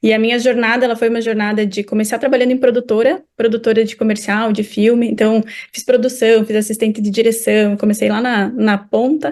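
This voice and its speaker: A woman with a slight southern Brazilian accent talks at a fairly quick pace and fairly high pitch, her intonation fairly even and hardly any pauses between words. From southern Brazil, Curitiba. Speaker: marketing executive. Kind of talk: interview.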